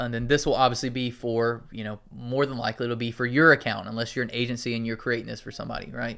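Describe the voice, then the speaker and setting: With a slight Southern US accent, a man talks in a bright, sharp tone. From US South. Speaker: marketing tutorial YouTuber. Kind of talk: tutorial. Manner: casual, conversational.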